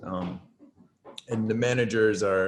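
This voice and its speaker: Against noticeable background noise, a man with an American accent talks at a fairly low pitch. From United States. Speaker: artist. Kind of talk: casual chat.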